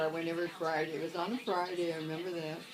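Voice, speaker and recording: Over background music, a woman talks. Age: 80s+. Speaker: grandmother. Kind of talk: interview answer, telling life stories.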